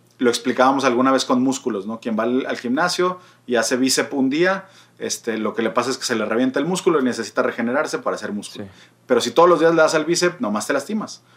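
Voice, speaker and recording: A man with a Mexican accent, medium pitch and a very fast pace. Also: lively intonation. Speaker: podcast co-host, psychology. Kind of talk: casual chat. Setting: remote recording.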